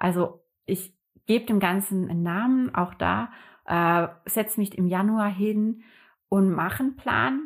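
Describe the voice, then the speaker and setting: Speaking at a very slow pace, a woman keeps her loudness very even. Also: medium pitch for a woman, ordinary pitch variation. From northern Germany, Hamburg area. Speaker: calligraphy artist and entrepreneur. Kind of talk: casual interview conversation. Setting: living room.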